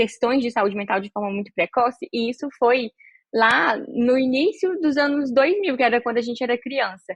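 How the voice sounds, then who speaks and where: The speaker keeps a moderate pace. The intonation is lively. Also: woman. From northern Minas Gerais, Brazil. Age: 20s. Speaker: psychiatrist and health communicator. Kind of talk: podcast interview.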